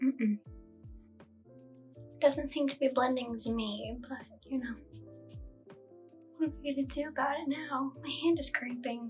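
Over faint background music, a woman with a high pitch speaks at a moderate pace in a monotone, flat intonation, with long, frequent pauses. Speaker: makeup vlogger. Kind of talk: casual makeup tutorial talk to camera. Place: home room.

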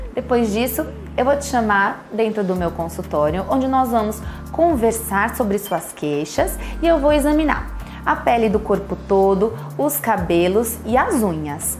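A woman talks at a fairly slow pace. Clear music can be heard in the background. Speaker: dermatologist. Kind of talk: clinic welcome / patient information video. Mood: warm, cheerful. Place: office.

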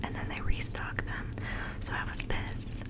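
A woman whispers at a fairly quick pace. Noticeable background noise can be heard. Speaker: ASMR content creator. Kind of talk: casual talk to camera, day-in-the-life voiceover.

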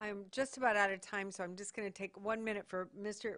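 With an American accent, a woman speaks at a medium pitch using fairly even intonation. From Michigan. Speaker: government commissioner. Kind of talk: public hearing questioning.

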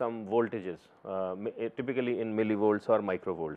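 Talking at a middling speed, the man shows ordinary variation in pitch. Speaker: lecturer. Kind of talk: lecture. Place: studio. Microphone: lapel.

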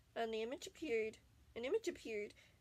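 Lively intonation in an unforced reading voice.

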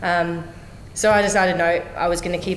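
A woman with an Australian accent, fairly low-pitched, talking at a fairly quick clip with fairly even intonation, some audible room echo and light background noise. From Australia (Brisbane). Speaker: Olympic kayaker and calisthenics coach; new coach. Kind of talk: interview. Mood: relaxed, reflective. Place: office.

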